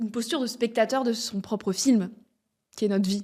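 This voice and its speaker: A woman's fairly high-pitched, fairly even-toned delivery in a normal speaking voice. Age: 20s. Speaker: podcaster and speaker. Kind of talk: interview conversation.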